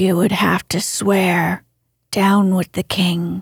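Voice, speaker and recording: A woman's medium-pitched, somewhat breathy voice with a dramatic, soothing tone at a very slow pace, recorded dry and close with no echo. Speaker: audiobook narrator. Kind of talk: literary audiobook reading, bedtime story narration. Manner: soft, slow, soothing, calm; gently dramatic, voicing characters.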